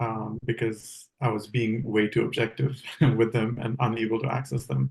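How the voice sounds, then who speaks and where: The man's voice sits at a medium pitch and carries vocal fry. He moves at a moderate pace with ordinary pitch variation. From India, raised partly in Canada. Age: 30s. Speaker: chart reading subject. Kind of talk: casual conversation, answering questions.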